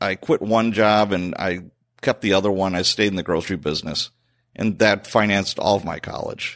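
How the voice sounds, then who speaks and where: A man talks with an American accent, recorded very cleanly against a silent background. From Chicago, South Side. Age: 50s. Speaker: retired police sergeant, podcast host. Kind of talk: interview storytelling. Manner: animated.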